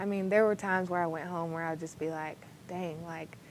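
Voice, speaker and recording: A woman with an American accent talks fairly quickly in a fairly low pitch and a monotone, flat intonation. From Texas, McKinney. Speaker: college basketball player. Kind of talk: interview.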